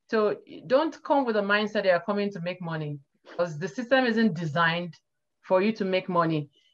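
With a Nigerian accent, a woman talks at a fairly quick pace and with lively intonation over light background noise. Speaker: data scientist. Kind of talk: interview. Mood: friendly, earnest advice. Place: home room. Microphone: video call.

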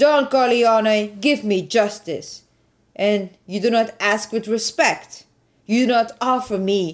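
This is reading aloud. The voice is natural.

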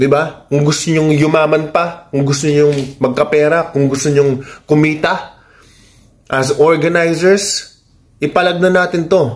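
A man at a fairly slow pace with a fairly high pitch and monotone, flat intonation. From Philippines. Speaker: YouTuber and fighter issuing call-outs. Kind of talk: call-out rant vlog. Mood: challenging, confrontational but calm. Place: home room. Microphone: phone near.

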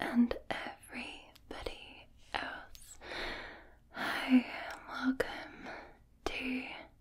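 Whispering, a woman speaks. Her pace is very slow. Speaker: video creator. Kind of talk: soft spoken relaxation video chat. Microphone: studio mic.

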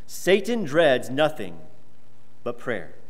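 A man at a moderate pace, fairly high in pitch, with lively intonation and vocal fry. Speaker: preacher. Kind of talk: sermon. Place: church.

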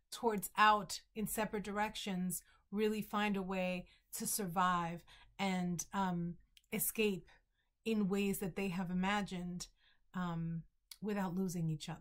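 Here a woman speaks with an American accent at a fairly slow pace. The background is quiet. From Bronx, New York. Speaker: novelist. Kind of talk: author introducing her book to camera. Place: home room. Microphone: webcam.

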